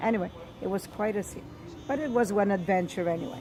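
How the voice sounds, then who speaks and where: A woman's medium-pitched voice with an Italian accent, a fairly quick pace and ordinary pitch variation, music in the background. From Sicily, Italy. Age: 70s. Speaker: grandmother telling family history. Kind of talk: oral history interview.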